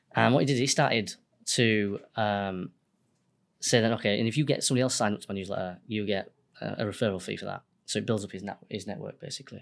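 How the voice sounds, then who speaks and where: Speaking at a very fast pace, a man with a fairly low pitch keeps his intonation fairly even on a very clean recording with a silent background. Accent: Yorkshire. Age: 30s. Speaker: accountant and business owner. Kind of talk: casual interview.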